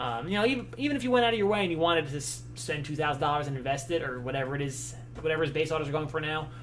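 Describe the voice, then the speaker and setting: With music in the background and audible room echo, a man talks at a very fast pace. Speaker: sports card box breaker. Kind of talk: live stream chat. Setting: live stream. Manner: speaking low, less animated than usual; halting, many fillers and repeats.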